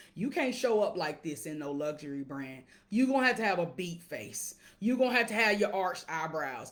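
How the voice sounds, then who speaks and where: A woman speaks loudly at a moderate pace. Her tone is animated, and her pitch swings very widely. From Alabama, US South. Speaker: wealth coach. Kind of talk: casual livestream monologue. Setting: live video stream.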